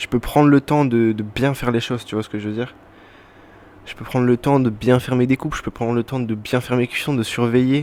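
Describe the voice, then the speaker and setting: A man talks fairly quickly at a medium pitch with monotone, flat intonation and big swings in loudness. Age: 20s. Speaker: podcaster, former cook. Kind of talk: casual monologue podcast. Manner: hesitant, many fillers.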